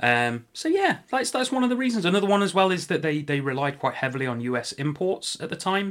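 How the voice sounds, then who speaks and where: A man with an English accent speaks very fast with hardly any pauses, his high pitch swinging very widely, in a very clean recording with a silent background. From England. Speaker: podcast host. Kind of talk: casual chat.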